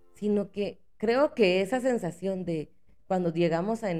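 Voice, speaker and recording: Speaking very slowly, a woman uses a medium pitch and ordinary pitch variation. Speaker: podcast host. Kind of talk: casual monologue.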